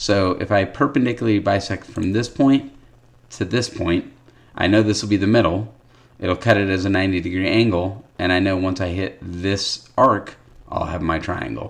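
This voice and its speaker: At a moderate pace, a man speaks in a normal speaking voice with a fairly low pitch and ordinary pitch variation. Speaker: math teacher. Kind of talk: tutorial.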